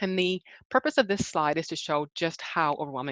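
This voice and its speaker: A normal speaking voice from a woman, fairly low in pitch, with lively intonation at a moderate pace. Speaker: rehabilitation presenter on brain injury. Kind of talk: webinar presentation. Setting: online webinar.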